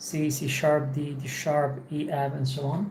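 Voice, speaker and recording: A woman's very deep, low voice carries vocal fry and a dark, mellow tone, with audible room echo. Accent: Polish. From Poland. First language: Polish. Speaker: English teacher streamer. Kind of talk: casual livestream monologue. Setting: home office. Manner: halting, many repetitions.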